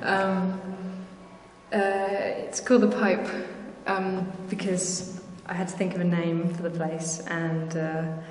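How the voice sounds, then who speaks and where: Very slow and monotone, the woman's flat intonation comes with long, frequent pauses. Audible room echo and light background noise fill the recording. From southwest England. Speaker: artist. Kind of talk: casual interview. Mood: relaxed, smiling. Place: studio. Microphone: phone near.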